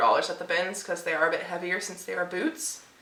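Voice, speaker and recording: A woman at medium pitch and a fairly quick pace, with noticeable background noise. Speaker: online reseller vlogger. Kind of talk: casual vlog. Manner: casual, filler-heavy.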